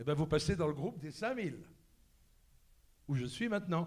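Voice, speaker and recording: Heard with audible room echo, a man's voice shows vocal fry and lively intonation. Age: 70s. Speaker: actor. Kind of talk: panel talk anecdotes. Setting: stage with audience. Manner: animated.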